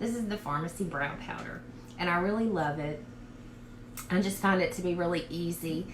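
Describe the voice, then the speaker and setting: Talking in a strong Southern US accent, a woman with a fairly low voice speaks at a moderate pace with ordinary pitch variation and long, frequent pauses. Audible room echo and noticeable background noise surround her. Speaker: beauty vlogger. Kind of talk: casual makeup tutorial livestream. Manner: casual, many fillers.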